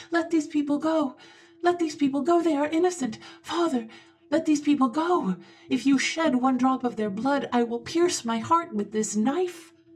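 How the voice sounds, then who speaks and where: A shrill, put-on character voice, female-sounding, pitched high for a woman, at a moderate pace. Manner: desperate, pleading.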